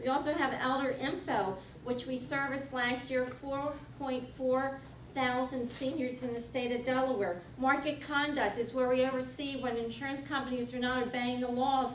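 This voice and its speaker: A woman talks at a moderate pace in a high pitch, with fairly even intonation. Audible room echo and noticeable background noise fill the recording. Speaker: political candidate, incumbent insurance commissioner. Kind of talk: candidate forum speech. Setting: public forum with audience.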